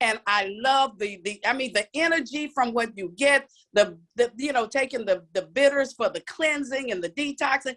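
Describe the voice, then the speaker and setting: With hardly any pauses, a woman speaks at a moderate pace in a high, animated voice with ordinary pitch variation and a dry, close sound with no echo. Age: 60s. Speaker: challenge participant giving testimony. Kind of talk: testimony. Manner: halting.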